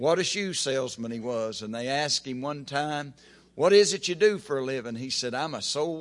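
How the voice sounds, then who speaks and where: Over a quiet background, a man with an American accent speaks at a medium pitch with lively intonation. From Oklahoma. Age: 50s. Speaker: preacher. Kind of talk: sermon. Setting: church.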